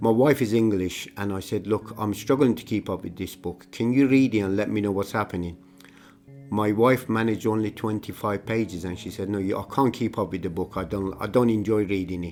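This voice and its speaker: Someone speaks with an Iranian accent at a fairly quick pace. Pitch variation is ordinary, and music plays in the background. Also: man, fairly low pitch for a man. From Iran (Tehran). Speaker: migrant telling life story. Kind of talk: personal testimony. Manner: halting, with repetitions.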